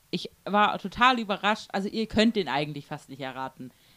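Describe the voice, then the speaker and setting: A woman speaks at a medium pitch, heard dry and close with no echo. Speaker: podcast co-host. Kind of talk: casual chat.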